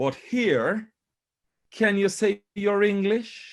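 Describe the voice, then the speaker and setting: Over a quiet background, a man speaks at a very slow pace. His pitch is high. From Jamaica. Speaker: panel speaker. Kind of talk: panel discussion. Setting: video call.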